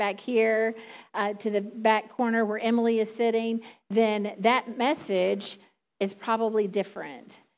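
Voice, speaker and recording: In a Southern US accent, a woman speaks with a fairly high pitch and fairly even intonation on a very clean recording with a silent background. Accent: Southern drawl. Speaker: preacher. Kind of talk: sermon. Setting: church.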